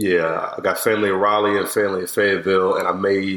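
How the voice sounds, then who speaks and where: The man's voice sits very deep and low. He delivers his words at a moderate tempo. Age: 30s. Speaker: UX/UI designer. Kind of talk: casual chat. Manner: halting, many fillers.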